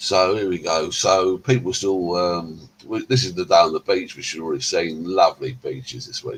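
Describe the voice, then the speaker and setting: Someone with an English accent talks at a moderate pace with hardly any pauses. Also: man. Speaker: vlogger. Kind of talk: casual vlog narration. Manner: hesitant.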